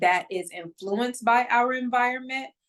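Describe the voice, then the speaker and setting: At a moderate pace, a woman speaks in a fairly high voice with ordinary pitch variation. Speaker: spiritual coach. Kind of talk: vlog talk to camera. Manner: occasional stumbles.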